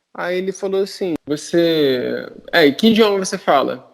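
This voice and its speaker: The speaker is a man. His pitch is high. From Brazil. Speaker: podcast panelist. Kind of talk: casual chat, storytelling.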